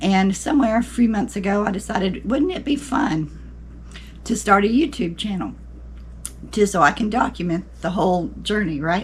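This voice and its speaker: Moderate pace and lively intonation from a woman, medium in pitch, with vocal fry. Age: 60s. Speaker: secondhand clothing reseller. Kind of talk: casual talk to camera.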